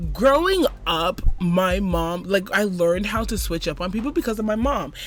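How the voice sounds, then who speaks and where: With an American accent, a woman speaks at a medium pitch and a moderate pace. Her tone is animated and her intonation lively. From Florida, Jamaican mother. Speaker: podcast co-host. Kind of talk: casual chat.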